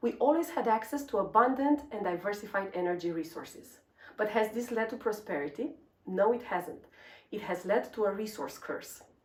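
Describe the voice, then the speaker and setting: With a Romanian accent, a woman speaks at a fairly high pitch. Her intonation is lively and her pace moderate. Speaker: energy researcher. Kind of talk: scripted presentation.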